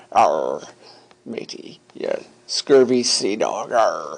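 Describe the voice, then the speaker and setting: Using a put-on character voice, a man speaks very slowly at an extremely high pitch. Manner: bad exaggerated pirate impersonation.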